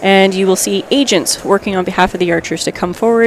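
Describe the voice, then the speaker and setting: Over noticeable background noise, a woman at medium pitch talks at a fairly quick pace with ordinary pitch variation. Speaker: sports commentator. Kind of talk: live commentary. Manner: fast.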